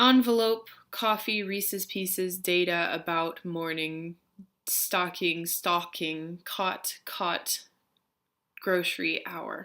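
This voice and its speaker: Over a silent background in a very clean recording, a woman with an American accent and a bright, sharp tone speaks at a medium pitch, with ordinary pitch variation, at a very slow pace. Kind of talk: word list reading.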